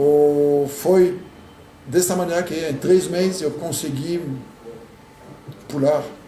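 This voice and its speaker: A man speaks very slowly in a French accent, with a fairly high pitch and long, frequent pauses. Audible room echo and noticeable background noise fill the recording. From France. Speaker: immigrant professional. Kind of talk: interview. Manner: halting.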